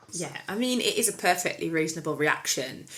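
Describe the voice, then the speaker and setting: A woman speaks with an English accent. Her fairly low voice has a bright, sharp tone. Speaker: podcast co-host. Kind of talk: casual chat. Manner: fast.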